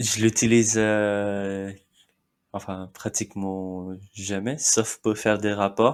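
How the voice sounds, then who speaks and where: In a Marathi accent, a man speaks very slowly in a fairly low, monotone voice with flat intonation, on a very clean recording with a silent background. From India, Mumbai. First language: Marathi (speaking French). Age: 30s. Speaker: immigrant interviewee. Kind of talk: interview. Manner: halting, with many fillers.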